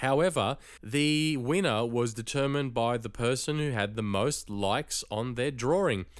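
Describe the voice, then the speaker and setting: In a very clean recording with a silent background, a man with an Australian accent speaks at a medium pitch. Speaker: podcast host. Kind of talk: casual chat; podcast monologue.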